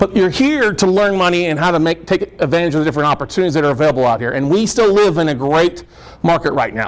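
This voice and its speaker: Loud and very fast, a man talks at a high pitch with lively intonation over noticeable background noise. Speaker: real estate note investor and speaker. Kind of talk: seminar presentation. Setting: meeting room with audience.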